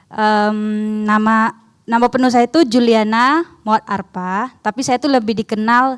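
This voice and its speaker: With a non-native accent, a woman speaks fairly slowly at a fairly high pitch on a very clean recording with a silent background. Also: dry, close sound with no echo. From outside Indonesia. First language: not Indonesian (speaking Indonesian). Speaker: seminar speaker, theology student. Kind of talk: seminar presentation.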